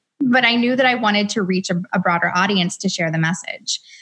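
A woman at medium pitch, with ordinary pitch variation, speaks in an unremarkable speaking voice. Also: quiet background. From US South, Atlanta. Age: 30s. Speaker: author and entrepreneur. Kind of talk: interview. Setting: video call.

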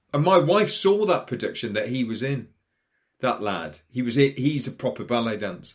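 A man with a Geordie accent, medium pitch, very wide pitch swings and a moderate pace. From northern England, Newcastle. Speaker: actor. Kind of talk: casual chat. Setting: studio.

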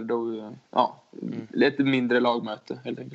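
A man speaks with a medium-pitched voice. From Småland, Sweden. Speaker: ice hockey player. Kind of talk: casual interview.

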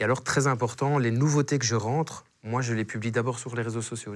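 With a Belgian accent, a man speaks in fairly even intonation. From Belgium. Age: 30s. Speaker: real estate agent. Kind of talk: casual interview chat. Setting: studio.

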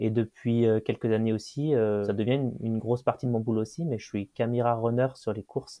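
In a quiet background with a dry, close sound and no echo, a man speaks at a moderate pace in a fairly low pitch, with a dark, mellow tone and fairly even intonation. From France, Loire near Saint-Étienne. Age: 20s. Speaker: mountain guide and orienteering athlete. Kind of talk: interview storytelling.

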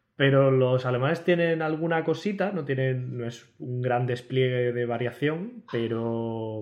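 This is an ordinary speaking voice at a moderate pace. Pitch variation is ordinary, with hardly any pauses. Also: man. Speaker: podcast co-host. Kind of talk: casual chat.

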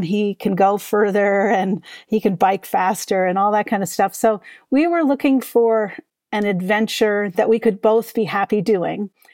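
Over a very clean, silent background, a woman speaks at a moderate pace and medium pitch, the sound dry and close with no echo. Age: 60s. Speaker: author and mindfulness teacher. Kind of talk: interview.

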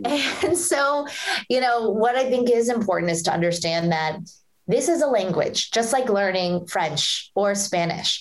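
A woman speaks with a fairly high pitch and very wide pitch swings. Her loudness stays very even over noticeable background noise. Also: fairly slow pace. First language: Hindi or Punjabi. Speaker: author and public speaker. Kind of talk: interview conversation.

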